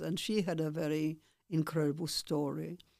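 Her voice is very deep and low, with a dark, mellow tone. This woman's intonation stays fairly even. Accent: Polish. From Poland. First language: Polish. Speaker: Holocaust survivor and former dancer. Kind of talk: testimony. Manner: halting.

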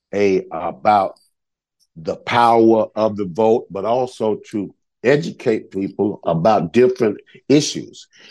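In a Southern US accent, a man speaks at medium pitch with lively intonation. His pace is fairly slow against a quiet background. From rural Georgia.

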